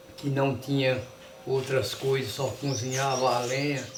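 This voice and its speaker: A man talks very slowly, with noticeable background noise and audible echo from the room. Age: 70s. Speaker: elderly rural resident, documentary interviewee. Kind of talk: documentary interview, reminiscing.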